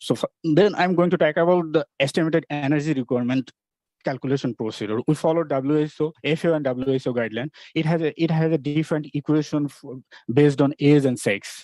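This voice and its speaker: The voice has a dark, mellow tone and ordinary pitch variation, moving at a very fast pace. The sound is dry and close, with no echo. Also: man, fairly high pitch for a man. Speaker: nutrition researcher. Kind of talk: conference presentation. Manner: halting, many restarts.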